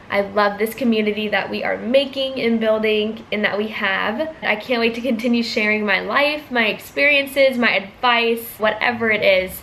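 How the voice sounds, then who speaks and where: A woman talks at a moderate pace with a fairly high pitch, fairly even intonation and hardly any pauses. Noticeable background noise runs behind her. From US, California and Georgia. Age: 20s. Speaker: vlogger, student. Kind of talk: casual Q&A vlog.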